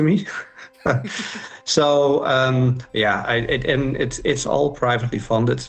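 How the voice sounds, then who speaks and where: Noticeable background noise sits behind the recording. A man's speech moves fairly slowly. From outside the UK. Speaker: festival founder. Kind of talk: interview. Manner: halting, many fillers.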